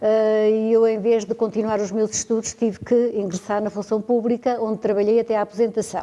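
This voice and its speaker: The voice has a dark, mellow tone and a monotone, flat intonation at a moderate pace. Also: woman. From Portugal, Beira Interior (Penamacor area). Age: 70s. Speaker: ceramic tile artisan. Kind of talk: interview.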